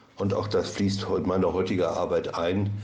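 A man speaks at a moderate pace with a dark, mellow tone and fairly low pitch, with audible room echo. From Ostwestfalen, Germany. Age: 60s. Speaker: addiction therapist. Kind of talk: interview. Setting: studio.

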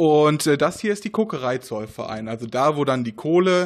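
Using very wide pitch swings, a man talks at a fairly quick pace with a fairly high pitch. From Ruhr area, Germany (Essen). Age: 20s. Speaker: race organizer and chemistry researcher. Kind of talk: interview. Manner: hesitant, many fillers.

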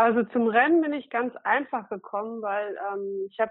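Using a normal speaking voice, a woman with a fairly high pitch talks at a moderate pace. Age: 40s. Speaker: SUP fitness trainer. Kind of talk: casual interview.

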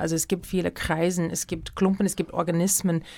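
A woman with an American accent. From US Midwest, Minneapolis. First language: English (speaking German). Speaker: dance director and choreographer. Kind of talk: interview. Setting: radio studio. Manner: halting, with many fillers.

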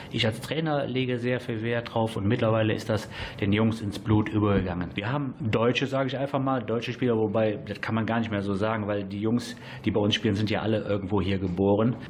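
Over noticeable background noise, a man of medium pitch talks at a fairly quick pace with fairly even intonation. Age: 40s. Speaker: amateur football coach. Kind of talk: radio interview.

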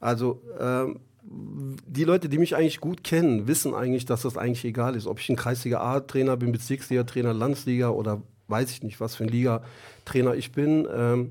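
On a very clean recording with a silent background, a man with a dark, mellow tone speaks at a moderate pace with fairly even intonation. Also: medium pitch for a man. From Germany, Duisburg area. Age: 40s. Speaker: football coach. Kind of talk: radio interview. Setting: studio.

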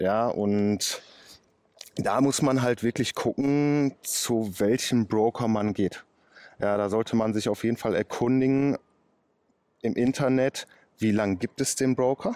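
Speaking at a very slow pace with long, frequent pauses, a man at a medium pitch keeps a very even loudness and a dark, mellow tone. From Ruhr area, Oberhausen. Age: 30s. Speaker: car mechanic and day trader. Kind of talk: casual interview. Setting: outdoors.

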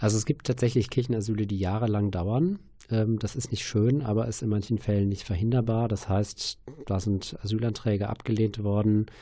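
A man speaks at a moderate pace in a dark, mellow tone that is somewhat breathy. His intonation stays fairly even against a quiet background. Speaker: church asylum network worker. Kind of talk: radio interview. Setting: studio.

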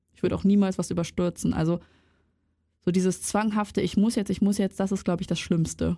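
A woman with a dark, mellow tone and vocal fry talks fairly quickly at medium pitch, flat and monotone, with long, frequent pauses. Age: 20s. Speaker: student podcaster. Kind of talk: casual chat.

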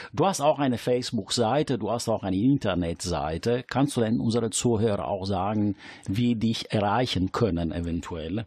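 A man speaks at a moderate pace with an Italian accent. His pitch is fairly low and his intonation lively. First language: Italian (speaking German). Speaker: radio host. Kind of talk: casual chat. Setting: studio.

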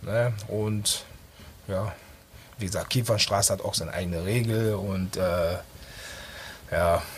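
Very slow and somewhat breathy, a man speaks with a fairly low pitch, fairly even intonation and long, frequent pauses. Audible room echo surrounds his voice. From Düsseldorf, moved from Ghana as a child. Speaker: party organizer and DJ. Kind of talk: casual radio interview. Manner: halting.

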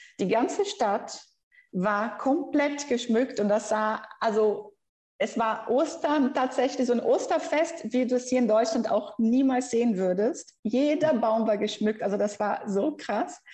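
With a Brazilian accent, a woman speaks fairly slowly in a high pitch, her intonation lively and her loudness very even. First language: Brazilian Portuguese (speaking German). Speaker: researcher and language teacher. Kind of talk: interview.

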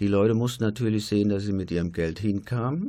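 A man speaks in a fairly low pitch with ordinary pitch variation. He has an ordinary speaking voice. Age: 60s. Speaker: retired nurse. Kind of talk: radio panel discussion. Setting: studio.

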